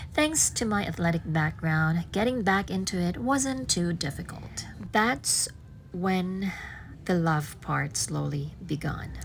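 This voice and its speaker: A woman talks very slowly, her voice carrying audible room echo. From Philippines. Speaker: vlogger. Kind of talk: personal vlog narration. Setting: gym.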